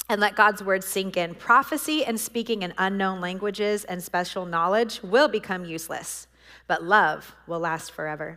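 With a bright, sharp yet warm, animated tone, a woman speaks at a moderate pace and medium pitch with lively intonation. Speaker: prophetic trainer and preacher. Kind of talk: workshop teaching with prayer and commissioning. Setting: in-person church room with audience. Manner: earnest, warm, animated.

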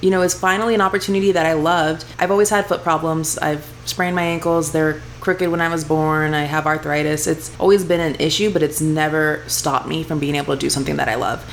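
Over noticeable background noise, a woman with an American accent talks at a very fast pace in a very deep, low pitch with ordinary pitch variation. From Houston, Texas. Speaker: chef. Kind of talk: casual chat.

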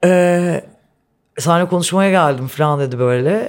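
A woman's fairly low voice at a fairly slow pace. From Istanbul, Turkey. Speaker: guest. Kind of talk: casual chat.

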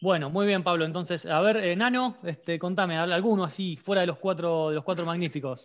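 Talking at a fairly quick pace with hardly any pauses, a man uses a high pitch and ordinary pitch variation. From Argentina. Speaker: podcast co-host. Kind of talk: casual chat.

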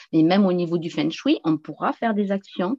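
Speaking at a fairly slow pace, a woman uses lively intonation in a fairly low voice. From southwest France, near the Pyrenees. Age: 50s. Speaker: feng shui and geobiology practitioner. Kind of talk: casual chat.

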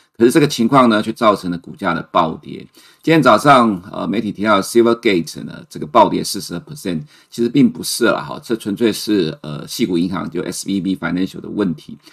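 In a very clean recording with a silent background, a man with a fairly low pitch speaks at a fairly quick pace. His intonation is lively and his loudness swings widely. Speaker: chief economist, financial commentator. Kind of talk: market commentary livestream. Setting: livestream. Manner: frequent fillers and hesitations.

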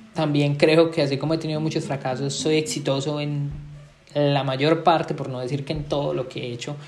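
Noticeable background noise and audible room echo surround this recording. A man talks at a fairly quick pace in a fairly high voice with fairly even intonation. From Colombia. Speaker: podcast host, entrepreneur and marketer. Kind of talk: solo podcast monologue.

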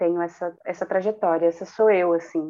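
This woman's voice sits at a fairly low pitch. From Cubatão, São Paulo coast (Brazil). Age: 20s. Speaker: actress and performer. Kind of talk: casual interview chat.

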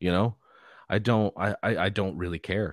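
With an American accent, a man talks at a moderate pace in a fairly low pitch, recorded very cleanly with a silent background and a dry, close sound with no echo. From Los Angeles, California. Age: 30s. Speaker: rock bassist and podcast host. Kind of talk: casual interview chat.

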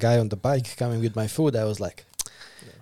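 In a Slovak accent, a man talks at a fairly quick pace with a medium pitch. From Slovakia. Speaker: podcast host. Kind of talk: casual interview.

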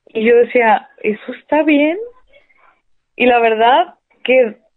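A woman's voice, high in pitch. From Mexico, Sonora (Hermosillo). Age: 30s. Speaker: stage actress. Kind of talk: interview.

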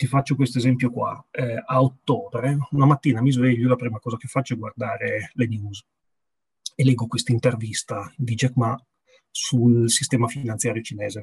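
Somewhat breathy and medium in pitch, a man's voice moves at a moderate pace in a monotone, flat intonation, with a dry, close sound and no echo. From Piedmont, Italy. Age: 40s. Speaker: business executive. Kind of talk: interview.

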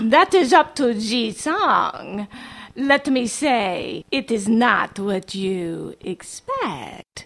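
In a put-on character voice, a female-sounding speaker talks at a very slow pace with fairly high pitch. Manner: calm, silkily polite.

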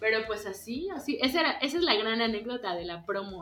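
A woman speaks loudly in a high pitch at a moderate pace, her tone animated and her intonation lively, with noticeable background noise. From Mexico, Yucatán. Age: 20s. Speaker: visual artist, painter and printmaker. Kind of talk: casual chat.

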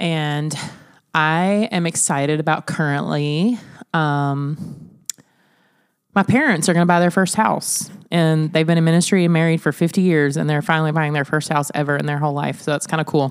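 A woman speaks at a moderate pace with fairly even intonation. Her pitch is very deep and low. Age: 30s. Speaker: family podcast co-host, mother. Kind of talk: casual family chat.

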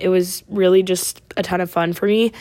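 A woman talks with a West Coast accent. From Oregon. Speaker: podcast host, college student. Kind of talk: casual solo chat. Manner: chatty, many fillers.

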